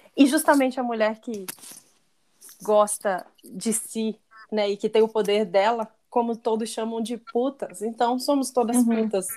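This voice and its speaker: A woman speaks with a fairly high pitch at a fairly slow pace. Her intonation is fairly even. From Pará, Brazil. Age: 30s. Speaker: podcast co-host, marketer. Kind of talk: casual chat.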